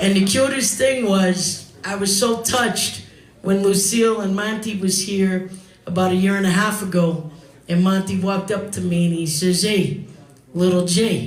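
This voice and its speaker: A man with a New York accent talks at a moderate pace in a high pitch, his intonation fairly even. Noticeable background noise and audible room echo are in the recording. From New York, the Bronx. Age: 60s. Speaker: singer and comedian. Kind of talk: eulogy speech at memorial. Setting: bar with live audience.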